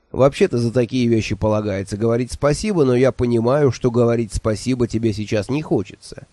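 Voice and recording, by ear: The pitch varies in an ordinary way as a passage is read aloud in a natural voice.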